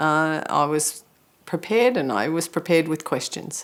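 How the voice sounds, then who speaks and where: Here is a woman with a plain, everyday voice and a fairly low pitch. She speaks at a fairly slow pace with lively intonation. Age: 50s. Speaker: breast cancer patient sharing experience. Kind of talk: testimony.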